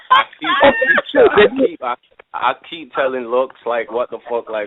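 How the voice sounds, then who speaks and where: A man talks at a fairly quick pace with an English accent. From England. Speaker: battle rapper. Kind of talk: casual interview.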